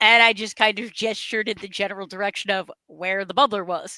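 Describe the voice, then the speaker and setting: Bright and sharp in tone, a woman speaks at medium pitch with an American accent. She talks at a fairly quick pace, with a dry, close sound and no echo. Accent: Boston accent, sometimes comes out. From New England, near New Hampshire border. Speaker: radio show co-host. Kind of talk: casual chat. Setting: live stream.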